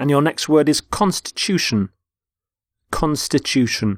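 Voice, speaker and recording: A man with a British accent, dry and close with no echo, on a very clean recording with a silent background. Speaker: English teacher. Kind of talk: educational vocabulary lecture. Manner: clear, measured.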